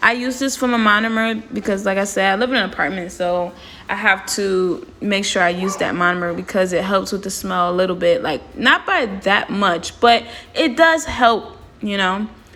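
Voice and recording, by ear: Raspy and bright with a sharp edge, a woman's voice sits at a medium pitch with ordinary pitch variation, moving at a moderate pace with few pauses.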